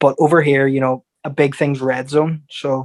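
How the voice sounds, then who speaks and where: A man talks with an Irish accent. His intonation is monotone and flat. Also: dry, close sound with no echo. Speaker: boxer and football fan. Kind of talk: casual chat.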